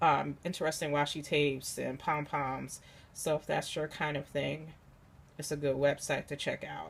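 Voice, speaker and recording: A very clean recording with a silent background carries a voice with vocal fry speaking at a fairly slow pace. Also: woman. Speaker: crafter, scrapbooker. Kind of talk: casual talk to camera, craft haul.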